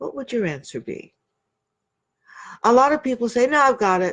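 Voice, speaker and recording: A woman with a high voice talks over a quiet background, her pitch swinging very widely. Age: 70s. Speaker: self-love and relationship coach. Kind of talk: online coaching session talk. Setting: Facebook online session.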